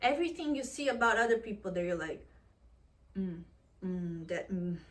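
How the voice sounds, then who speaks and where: Her voice is somewhat breathy, a woman at a medium pitch with lively intonation. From Portugal. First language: Portuguese. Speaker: vlogger. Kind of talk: casual vlog monologue. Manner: animated.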